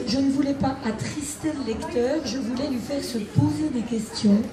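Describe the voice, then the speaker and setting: A woman's voice with noticeable background noise and audible room echo. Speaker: novelist, former emergency doctor. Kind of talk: live author interview.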